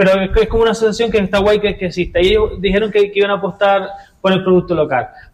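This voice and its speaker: Talking at a very fast pace, a man with a high pitch keeps fairly even intonation and very even loudness. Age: 30s. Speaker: goat farmer and cheesemaker. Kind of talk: radio interview. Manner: halting.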